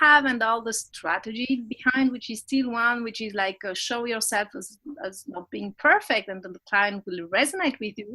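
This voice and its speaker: A woman speaks with a non-native accent. Her voice is high, with lively intonation. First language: not English. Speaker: business coach. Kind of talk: interview. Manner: halting, many restarts.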